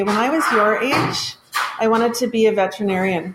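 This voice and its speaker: A woman talks at a fairly quick pace in a fairly high pitch. Her pitch varies in an ordinary way, with noticeable background noise behind her. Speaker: school assistant principal. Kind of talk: casual chat.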